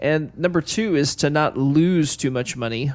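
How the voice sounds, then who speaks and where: A man has a plain, everyday voice. He speaks fairly slowly, and his pitch varies in an ordinary way. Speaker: financial advisor co-host. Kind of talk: radio talk show.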